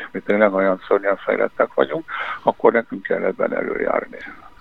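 A man speaks over noticeable background noise. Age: old. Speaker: security policy expert, former ambassador. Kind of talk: interview. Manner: halting.

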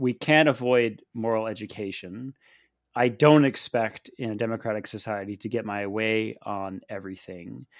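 A man with an American accent uses a normal speaking voice at medium pitch, speaking at a moderate pace with ordinary pitch variation on a very clean recording with a silent background. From United States. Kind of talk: casual discussion.

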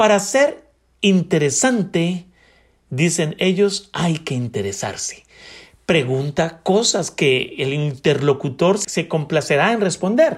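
A man speaks very slowly in a high voice with lively intonation. The recording is very clean, with a silent background. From Colombia, Bogotá. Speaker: podcast host. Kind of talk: book review talk.

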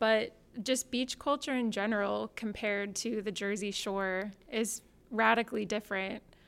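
Speaking with a West Coast accent, a woman uses a fairly high pitch. Her pace is moderate and her intonation fairly even. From Portland, Oregon. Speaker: church member and guest. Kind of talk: casual chat.

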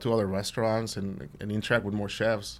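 A man with a Mexican accent talks at a fairly quick pace in a medium pitch. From Central West Mexico. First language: Spanish. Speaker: chef. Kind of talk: casual interview chat. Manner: hesitant, filler-heavy.

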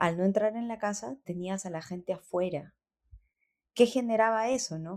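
In a very clean recording with a silent background, a woman talks at a moderate pace, her medium pitch showing ordinary variation. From Peru, Lima (born in Cajamarca, moved at about 7). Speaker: singer and music producer. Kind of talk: interview conversation. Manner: halting, many repetitions and fillers.

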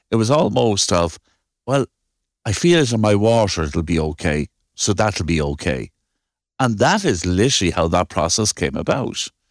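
A man with an Irish Midlands accent, lively intonation, very even loudness and long, frequent pauses, in a dry, close sound with no echo. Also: fairly low pitch for a man, moderate pace, very clean recording, silent background. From Ireland. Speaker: civil engineer, firm owner. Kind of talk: interview.

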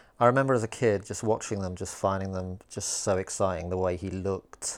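Someone with a British accent speaks at a fairly quick pace with fairly even intonation in a very clean recording with a silent background. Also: man. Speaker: podcast host and stand-up comedian. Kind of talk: casual interview chat. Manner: jokey.

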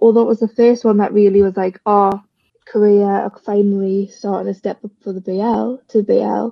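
Someone with a British accent speaks at a moderate pace in a monotone, flat intonation. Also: woman. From UK. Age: 20s. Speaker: fan podcaster. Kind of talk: casual chat.

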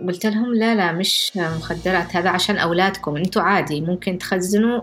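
A woman's medium pitch shows ordinary pitch variation as she talks at a fairly quick pace. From Yemen, Jibla. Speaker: activist. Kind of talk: interview testimony. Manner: soft-spoken.

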